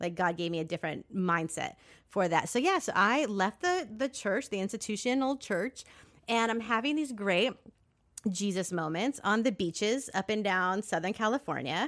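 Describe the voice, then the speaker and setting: Against a very clean recording with a silent background, a woman speaks at a moderate pace with lively intonation and an unremarkable speaking voice. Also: medium pitch for a woman. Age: 40s. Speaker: nonprofit founder and producer. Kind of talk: casual interview.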